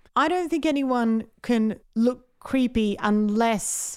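This is a very clean recording with a silent background. The speaker is a woman with an Australian accent. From South Australia, Adelaide. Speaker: podcast co-host, comedian. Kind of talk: casual chat. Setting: office.

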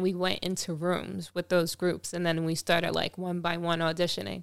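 A woman with a Long Island accent and a fairly low pitch, on a very clean recording with a silent background. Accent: New York (Long Island). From Long Island, New York. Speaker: singer. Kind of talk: casual chat. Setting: studio. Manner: laughs often.

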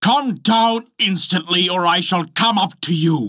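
Putting on a character voice, a man speaks at a high pitch with a bright, sharp tone. His pace is fairly slow, with ordinary pitch variation.

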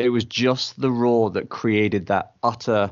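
Here a man speaks with an English accent. His pace is fairly slow. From England. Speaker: podcast partner, traveling dad. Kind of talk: interview storytelling.

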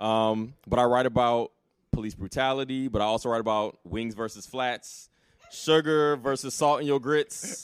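A man with an American accent speaks in an ordinary speaking voice at a medium pitch and moderate pace, with ordinary pitch variation. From military bases abroad and Alabama, US South. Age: 40s. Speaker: writer and blogger. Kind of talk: casual interview. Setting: live event recording.

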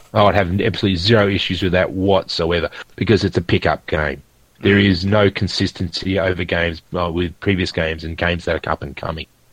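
Very fast and with fairly even intonation, a man speaks in a very deep, low voice with an Australian accent. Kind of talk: casual chat.

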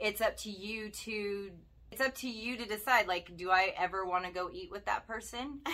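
With an animated tone and big swings in loudness, a woman with a fairly high pitch speaks at a moderate pace and ordinary pitch variation. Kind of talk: casual chat.

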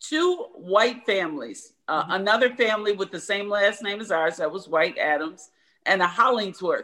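A woman with an American accent speaks at a moderate pace in a bright, sharp, medium-pitched tone with lively intonation. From Michigan, US. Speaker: guest, former state police intern. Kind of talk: interview.

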